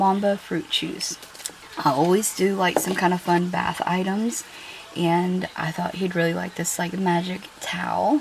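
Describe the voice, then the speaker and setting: There is noticeable background noise. A woman with a fairly low pitch speaks with fairly even intonation. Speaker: YouTuber doing shopping hauls. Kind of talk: casual haul review. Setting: home kitchen. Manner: chatty, hesitant with fillers.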